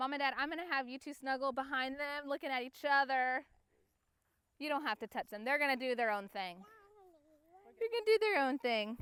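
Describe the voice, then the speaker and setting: A high-pitched woman with an American accent, an animated, playful tone, lively intonation, a fairly quick pace broken by long, frequent pauses, and a dry, close sound with no echo. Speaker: family photographer. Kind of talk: directing a photo session with kids. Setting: outdoors.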